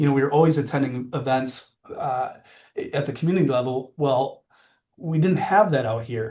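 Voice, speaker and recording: Somewhat breathy, with a dark, mellow tone, the voice carries a Wisconsin accent and ordinary pitch variation. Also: man, fairly high pitch for a man. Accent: Wisconsin accent, drawn-out vowels. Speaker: mortgage lending sales manager. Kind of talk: podcast interview.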